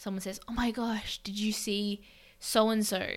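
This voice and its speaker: Speaking in an Australian accent at a moderate pace, the voice shows vocal fry and fairly even intonation. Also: woman. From Australia, Melbourne. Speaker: podcast co-host, English teacher. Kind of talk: casual discussion.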